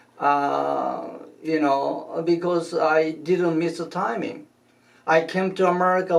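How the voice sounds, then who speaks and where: Noticeable background noise and audible room echo around a man's high-pitched voice with fairly even intonation. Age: 80s+. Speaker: shiatsu master and teacher. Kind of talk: interview. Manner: halting, many fillers.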